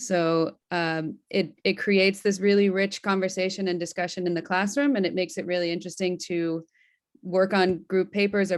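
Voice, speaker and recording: With an American accent, a woman speaks in an ordinary speaking voice at a medium pitch with fairly even intonation against a quiet background. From United States. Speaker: alumna / former student. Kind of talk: webinar Q&A.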